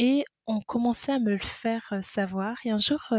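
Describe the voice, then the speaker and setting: A woman's somewhat breathy voice with fairly even intonation and a dry, close sound with no echo. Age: 30s. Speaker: midwife. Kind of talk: testimony.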